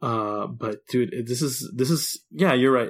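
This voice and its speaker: Over a very clean recording with a silent background, a man with an ordinary speaking voice talks at a medium pitch and a moderate pace. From Texas. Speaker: podcast co-host. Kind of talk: casual chat.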